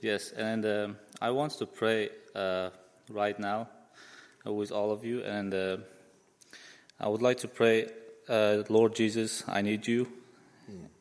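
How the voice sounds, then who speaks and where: A man's fairly low, monotone voice with flat intonation and a Central Asian accent, very slow, with long, frequent pauses. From Uzbekistan. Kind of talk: testimony.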